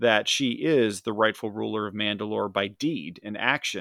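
A man with an unremarkable speaking voice talks at a fairly low pitch and a moderate pace. The recording is very clean with a silent background and a dry, close sound with no echo. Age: 40s. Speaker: podcast co-host and reviewer. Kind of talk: casual chat.

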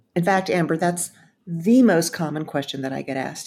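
A woman with an American accent, an ordinary speaking voice, fairly low pitch, ordinary pitch variation, and a fairly quick pace. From Texas, Dallas. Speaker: speechwriter and public speaking consultant. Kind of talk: interview conversation.

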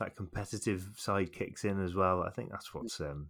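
A man with a West Midlands accent speaks at a moderate pace in a fairly low voice with fairly even intonation. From England, Shrewsbury. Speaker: podcast host. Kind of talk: casual chat.

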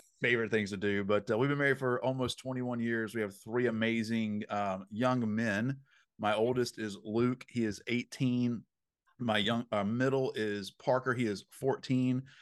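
A man with a Southern US accent talks fairly slowly at a medium pitch. His intonation is fairly even, and the background is quiet. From US South. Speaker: dream interpreter. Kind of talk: interview.

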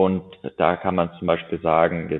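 A man's very deep, low voice at a fairly slow pace. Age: 20s. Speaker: horse breeder and racing-pace rider. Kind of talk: podcast interview. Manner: hesitant, many filler sounds.

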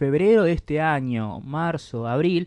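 At a fairly slow pace, a man speaks with a fairly high pitch in a dry, close sound with no echo. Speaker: podcast co-host. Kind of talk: casual chat.

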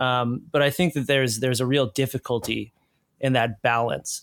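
Speaking at a fairly quick pace, a man has medium pitch and a plain, everyday voice. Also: very clean recording, silent background. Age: 30s. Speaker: researcher and reporter on hate groups. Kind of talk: casual interview.

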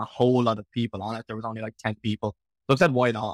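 A man talks very fast in a flat monotone with an Irish accent. The recording is very clean, with a silent background and a dry, close sound with no echo. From Ireland. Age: 20s. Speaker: online fitness coach and bodybuilder. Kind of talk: casual interview chat.

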